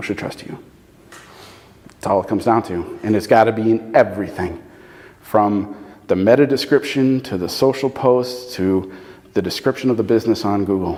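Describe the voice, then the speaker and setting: Amid noticeable background noise, a man at medium pitch talks at a moderate pace with fairly even intonation and long, frequent pauses. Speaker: SEO consultant and presenter. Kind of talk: presentation with audience Q&A.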